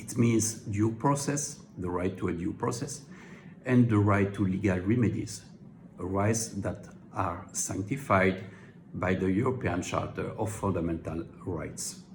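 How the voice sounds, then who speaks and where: A man speaks at a fairly slow pace with a strong French accent, his voice somewhat breathy. Audible room echo surrounds him. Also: fairly low pitch for a man, ordinary pitch variation. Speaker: legal commentator. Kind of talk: explainer monologue. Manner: formal, with hesitations.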